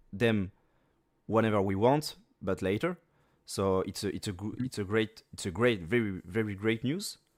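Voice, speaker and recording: A man with a French accent and a fairly low voice, ordinary pitch variation, a moderate pace, and a very clean recording over a silent background. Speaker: gaming content creator. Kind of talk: casual interview Q&A. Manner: halting.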